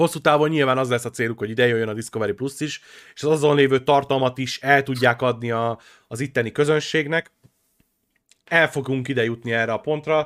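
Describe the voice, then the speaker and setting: Animated in tone, a man talks at a fairly quick pace and medium pitch in a very clean recording with a silent background. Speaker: gaming podcast co-host. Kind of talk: casual chat.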